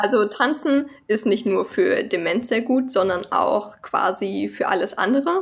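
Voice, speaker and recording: A woman's very slow speech full of very wide pitch swings. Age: 20s. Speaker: research associate in sport gerontology. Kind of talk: casual chat. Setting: video call.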